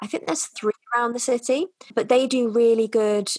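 With a North Welsh accent, a woman talks at a fairly quick pace. Her intonation stays fairly even. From North Wales. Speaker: vegan lifestyle influencer and English teacher. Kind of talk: casual interview chat.

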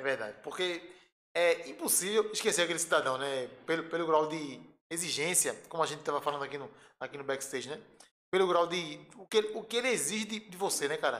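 Lively intonation and big swings in loudness mark a man's high-pitched voice at a very fast pace. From Pernambuco, Brazil (Recife area). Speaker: electrical engineer, transmission lines. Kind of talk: casual chat.

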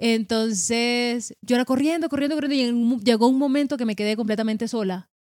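Talking fairly quickly with hardly any pauses, a woman uses a high pitch and ordinary pitch variation. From Colombia, Caribbean coast (Sabana Grande, Atlántico). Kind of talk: casual religious conversation.

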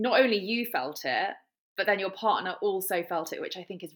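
A woman speaks at a fairly quick pace in an ordinary speaking voice with fairly even intonation. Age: 30s. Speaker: podcast host. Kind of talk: casual interview chat.

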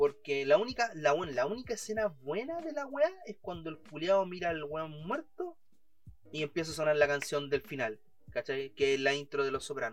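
The speaker has a Chilean accent and lively intonation. The pace is moderate. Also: man, fairly high pitch for a man. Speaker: podcast co-host. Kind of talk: casual chat. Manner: animated.

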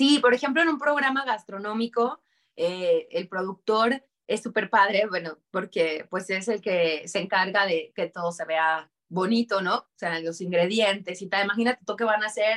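In a dry, close recording with no echo, a woman speaks at a moderate pace and medium pitch with lively intonation. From Mexico, Durango. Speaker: voice actor and producer. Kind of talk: interview. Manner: animated.

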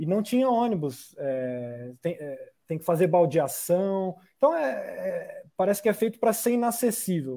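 This man has a high pitch and a dark, mellow tone, speaking at a fairly slow pace with very wide pitch swings. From Brazil, São José dos Campos. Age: 30s. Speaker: politician. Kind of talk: online panel debate. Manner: halting, with fillers.

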